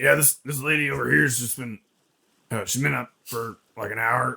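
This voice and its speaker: Using a put-on character voice, a man speaks in a raspy, medium-pitched tone with lively intonation at a moderate pace. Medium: actual play. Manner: folksy, ungrammatical.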